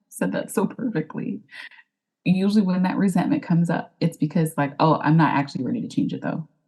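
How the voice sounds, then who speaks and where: A woman speaks at a fairly quick pace in a fairly low, dark and mellow voice that is somewhat breathy. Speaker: life coach, former wedding planner. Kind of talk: podcast interview.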